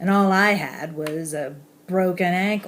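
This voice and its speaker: A woman speaks with an American accent. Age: 60s. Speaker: high school English teacher with facial spasms. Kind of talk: personal testimony.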